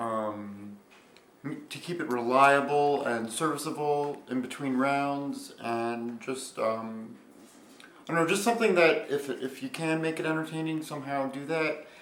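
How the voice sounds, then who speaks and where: The man's voice is fairly high in pitch with ordinary pitch variation. Noticeable background noise and audible room echo surround him. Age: 20s. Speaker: robot combat competitor and video creator. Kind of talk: interview. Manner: hesitant, many fillers.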